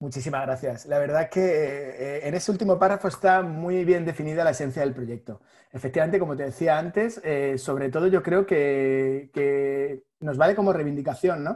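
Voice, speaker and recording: Speaking at a moderate pace with hardly any pauses, the voice shows ordinary pitch variation. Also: man, fairly high pitch for a man. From Spain, Madrid. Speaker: graphic designer. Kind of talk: podcast interview.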